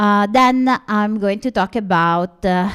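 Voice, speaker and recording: This very clean recording with a silent background carries a voice with ordinary pitch variation. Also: woman. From Italy. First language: Italian. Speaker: linguistics professor. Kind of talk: conference presentation.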